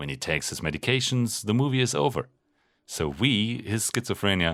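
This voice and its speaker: With a German accent and vocal fry, the speaker moves fast through very wide pitch swings at a fairly quick pace. The recording is very clean, with a silent background. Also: man, fairly low pitch for a man. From Germany. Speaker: pharmacist and video essayist. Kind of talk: video essay narration; casual talk to camera.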